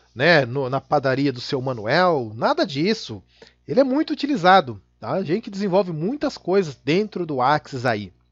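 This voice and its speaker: A man with a fairly high voice speaks at a moderate pace against a quiet background. His pitch swings very widely. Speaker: Excel VBA instructor. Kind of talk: tutorial.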